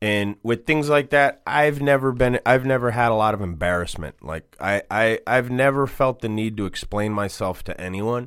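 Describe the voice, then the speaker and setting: A man with an American accent talks at a moderate pace and medium pitch, with ordinary pitch variation and hardly any pauses; it is a normal speaking voice. The recording is very clean with a silent background. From Boston. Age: 40s. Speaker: tattoo artist and shop owner. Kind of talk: casual interview. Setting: radio studio.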